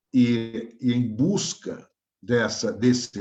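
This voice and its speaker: A man with a Brazilian accent speaks in a somewhat breathy voice. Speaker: professor. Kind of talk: lecture.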